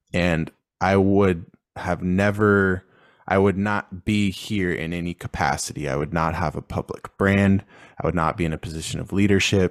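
A man's very deep, low pitch at a moderate pace with fairly even intonation, dry and close with no echo, on a very clean recording with a silent background. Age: 30s. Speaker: entrepreneur. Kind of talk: podcast interview.

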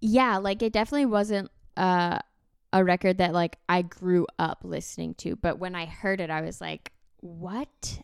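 Very clean recording, silent background, and a woman with a plain, everyday voice. She speaks at medium pitch and a moderate pace with ordinary pitch variation. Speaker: musician and podcaster. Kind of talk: casual chat.

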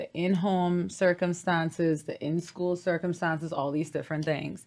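This is a plain, everyday voice from a woman, pitched fairly low. She talks at a moderate pace on a very clean recording with a silent background. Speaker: yoga teacher and hoop performer. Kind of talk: casual interview chat.

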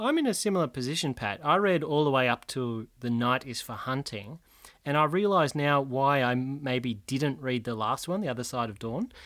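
A man with an Australian accent speaks at a medium pitch, his intonation lively and his tone animated, on a very clean recording with a silent background. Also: moderate pace. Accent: Australian, fairly broad. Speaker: podcast host, book discussion. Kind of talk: casual chat. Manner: animated, jokey.

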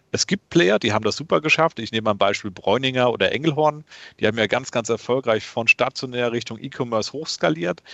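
Using an ordinary speaking voice, a man talks at a fairly quick pace and a medium pitch with ordinary pitch variation. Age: 30s. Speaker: e-commerce company founder and CEO. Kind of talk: interview. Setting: remote call.

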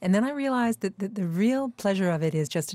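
A woman with a Canadian accent, an unremarkable speaking voice, fairly quick pace, very clean recording with a silent background. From Canada. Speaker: author. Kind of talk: interview. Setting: studio.

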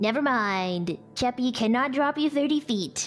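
A woman puts on a character voice at a high pitch and a moderate pace. Clear background noise sits behind her. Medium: actual play. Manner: refers to herself in the third person; soft, earnest, easily worried.

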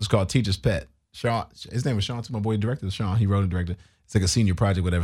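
A man with an American accent talks at a very fast pace. His voice is fairly low and somewhat breathy. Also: very clean recording, silent background. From New York. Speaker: comedian and TV actor. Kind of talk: casual chat. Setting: studio.

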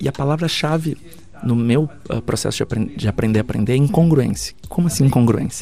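A man at medium pitch with ordinary pitch variation and a fairly quick pace, against noticeable background noise. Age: 40s. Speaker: futurist and speaker. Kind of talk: interview. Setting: backstage at an event. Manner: hesitant with repetitions.

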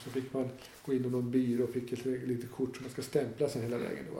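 A man talks with vocal fry in his voice. The room gives off an audible echo. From northern Dalarna, Sweden. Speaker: hostel owner. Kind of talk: interview. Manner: halting.

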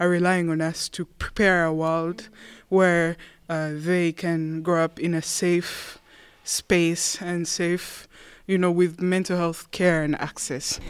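A woman talks at a fairly slow pace in a fairly low, monotone, flat voice. The recording is very clean, with a silent background. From Rwanda. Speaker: mental health advocate. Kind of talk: roundtable discussion.

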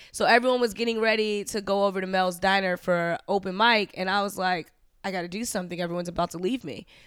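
A woman at a medium pitch talks very fast with fairly even intonation, on a very clean recording with a silent background. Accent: American. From US East Coast (New York, Florida). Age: 20s. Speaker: stand-up comedian. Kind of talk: casual chat.

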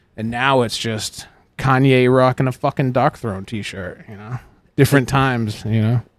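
An ordinary speaking voice from a man with an American accent, medium in pitch, at a moderate pace, with fairly even intonation, on a very clean recording with a silent background. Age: 30s. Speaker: tattoo artist and shop owner. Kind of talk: casual chat. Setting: tattoo shop.

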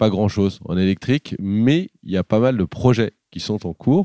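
The sound is dry and close with no echo and a quiet background. A man speaks with ordinary pitch variation. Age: 30s. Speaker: boat tour entrepreneur. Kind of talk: interview. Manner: hesitant, many fillers.

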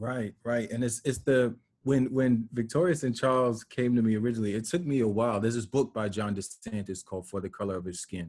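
Using a normal speaking voice, a man talks at a fairly quick pace with hardly any pauses, a medium pitch and ordinary pitch variation. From New York, Westchester. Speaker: documentary filmmaker. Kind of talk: casual interview.

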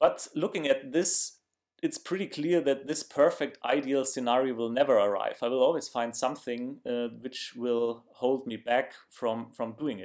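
This is a man with a German accent. He talks at a medium pitch. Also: ordinary pitch variation, moderate pace. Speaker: video blogger. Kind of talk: casual monologue to camera. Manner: halting, with fillers.

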